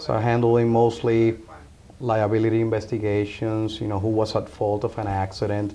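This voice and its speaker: A man with a Spanish accent and medium pitch at a moderate pace, with noticeable background noise. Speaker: insurance agent. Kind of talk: interview. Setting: insurance office.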